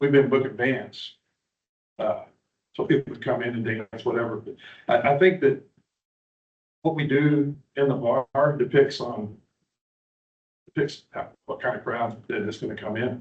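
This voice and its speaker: This man, with an American accent, sounds somewhat breathy and speaks at a moderate pace with ordinary pitch variation. His loudness swings widely, and he takes long, frequent pauses. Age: 60s. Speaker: bar owner. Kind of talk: public hearing testimony. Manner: halting.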